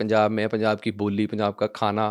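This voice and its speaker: A man with a Punjabi accent talks at a medium pitch. The sound is dry and close with no echo, over a quiet background. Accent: Punjabi-accented Hindi, weak Hindi. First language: Punjabi (speaking Hindi). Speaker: talk show host. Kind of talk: interview.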